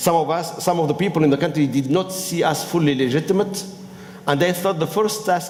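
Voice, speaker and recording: Noticeable background noise runs beneath a man whose fairly high pitch shows ordinary variation. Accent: strong non-native. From Tunisia. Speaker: business school professor and former minister. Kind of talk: panel talk. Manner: halting.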